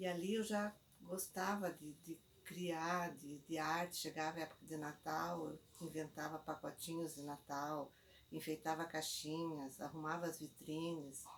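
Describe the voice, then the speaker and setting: Her voice has a very deep, low pitch. The woman talks at a fairly slow pace with fairly even intonation. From Brazil, Paraná (Castro). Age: 70s. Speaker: artist and painter. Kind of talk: life story testimony. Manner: halting, with repetitions.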